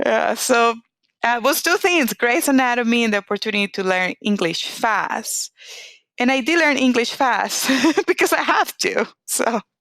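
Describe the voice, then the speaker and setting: With a Latin American accent, the voice has a bright, sharp tone, lively intonation and very even loudness, the sound dry and close with no echo. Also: woman, high pitch for a woman, moderate pace. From Venezuela. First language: Spanish. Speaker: oncologist. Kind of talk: interview.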